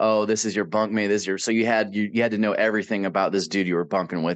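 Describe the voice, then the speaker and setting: Man's very fast, monotone, flat delivery at a fairly low pitch, with a Midwestern American accent, against a quiet background. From Davenport, Iowa. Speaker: army veteran. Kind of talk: interview answer. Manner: casual, candid, with humor.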